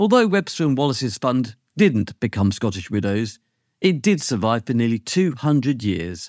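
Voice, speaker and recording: With a British accent, a man speaks at medium pitch and a moderate pace, his pitch swinging very widely. The recording is very clean with a silent background and a dry, close sound with no echo. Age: 50s. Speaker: lawyer and podcast host. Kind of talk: scripted narration.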